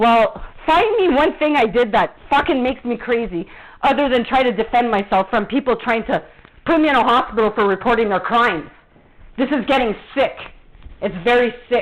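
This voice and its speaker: Her tone animated and her intonation lively, a woman speaks in a high pitch at a very even loudness. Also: moderate pace. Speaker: vlogger. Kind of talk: angry rant.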